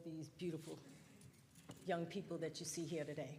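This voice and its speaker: A woman with a fairly low pitch speaks at a fairly quick pace in a somewhat breathy voice. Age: 60s. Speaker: resident speaking at public hearing. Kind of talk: public comment.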